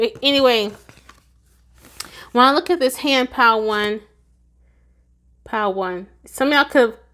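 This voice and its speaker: In a high-pitched voice with a bright, sharp tone, a woman speaks at a moderate pace with long, frequent pauses on a very clean recording with a silent background. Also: ordinary pitch variation. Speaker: tarot reader. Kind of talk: tarot reading monologue.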